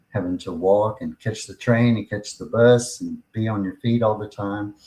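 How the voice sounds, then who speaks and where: Here is a man with an ordinary speaking voice, fairly low in pitch, talking at a moderate pace with fairly even intonation. His loudness swings a lot. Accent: American. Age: 60s. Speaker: podcast host and pain patient. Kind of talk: personal testimony.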